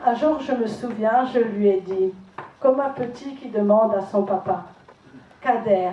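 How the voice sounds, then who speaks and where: A woman with an Alsatian accent talks at a very slow pace, her pitch fairly high with ordinary variation. Her loudness swings widely, and there is noticeable background noise. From Alsace, France. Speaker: charity association president. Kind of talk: prepared tribute speech.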